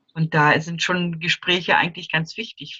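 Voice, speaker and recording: A woman has a very deep, low pitch paired with a bright, sharp tone. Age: 60s. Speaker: grief counselor for children. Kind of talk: interview. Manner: halting.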